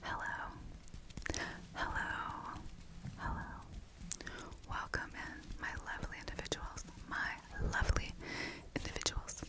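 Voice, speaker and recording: A woman at a fairly slow pace, with long, frequent pauses over loud background noise. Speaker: ASMR artist. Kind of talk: ASMR name reading. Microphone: studio mic.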